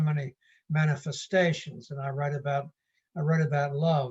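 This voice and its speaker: Intonation stays monotone and flat throughout. There is a somewhat breathy quality to the voice. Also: man. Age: 70s. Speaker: poet. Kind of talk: casual chat. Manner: halting.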